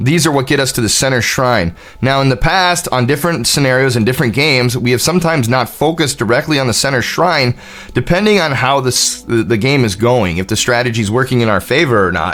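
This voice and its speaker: A man's very fast, animated delivery with lively intonation and very even loudness, music playing in the background. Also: medium pitch for a man. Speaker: gaming streamer. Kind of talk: live gameplay commentary.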